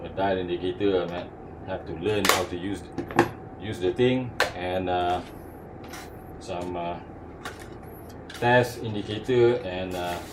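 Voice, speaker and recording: With long, frequent pauses, a man talks at a fairly slow pace in a very deep, low pitch and fairly even intonation, amid noticeable background noise and audible room echo. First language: not English. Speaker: hobbyist tool reviewer. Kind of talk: casual product review. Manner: halting, many fillers.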